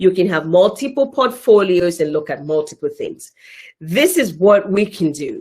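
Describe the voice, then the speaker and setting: A woman speaks with an animated tone and lively intonation at a moderate pace, in a Nigerian accent. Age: 30s. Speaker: event facilitator. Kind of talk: live online event chat.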